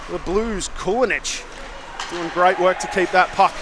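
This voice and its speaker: A man with an Australian accent speaks at a fairly slow pace in a high voice, with noticeable background noise. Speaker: ice hockey play-by-play commentator. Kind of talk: live commentary. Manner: loud.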